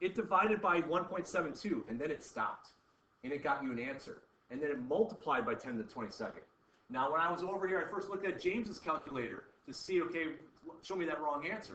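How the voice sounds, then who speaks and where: Speaking at a very fast pace with lively intonation, a man uses a high pitch in a room with audible echo. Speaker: chemistry teacher. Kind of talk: classroom lecture.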